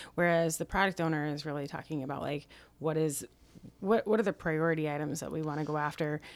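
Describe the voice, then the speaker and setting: A woman talks at a very fast pace, her pitch very deep and low. Her intonation stays fairly even on a very clean recording with a silent background. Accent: slight Minnesotan. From Minnesota. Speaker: digital agile expert. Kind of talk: casual chat.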